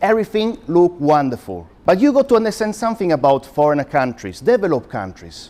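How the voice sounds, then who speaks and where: In an Italian accent, a man speaks with a dark, mellow tone and very wide pitch swings. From Italy. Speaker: university lecturer. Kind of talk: public talk.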